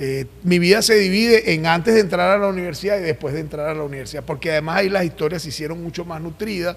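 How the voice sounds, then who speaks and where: A man talks in a Caracas accent at a very fast pace, with hardly any pauses. His pitch is high, with ordinary variation, over noticeable background noise. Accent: Caracas accent, colloquial street tone. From Venezuela, Caracas (El Valle / Coche). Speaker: journalist. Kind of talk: interview. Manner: colloquial, sing-song tone.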